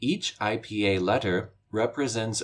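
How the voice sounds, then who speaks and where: A man's normal speaking voice at medium pitch, with an American accent and a fairly slow pace. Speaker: pronunciation teacher. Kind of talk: tutorial. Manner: formal.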